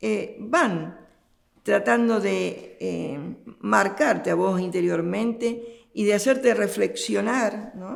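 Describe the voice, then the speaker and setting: With audible room echo, a woman speaks at a very slow pace in an Argentine accent. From Argentina. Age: 70s. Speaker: religious sister. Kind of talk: interview. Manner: halting.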